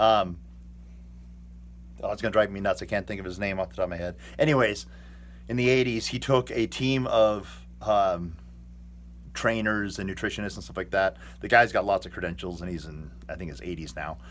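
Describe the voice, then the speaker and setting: A man with a very deep, low voice and an American accent speaks at a fairly quick pace with vocal fry. His pitch swings very widely, his loudness shifts sharply, and he takes long, frequent pauses. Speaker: fitness vlogger. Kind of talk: casual vlog monologue. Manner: hesitant, filler-heavy.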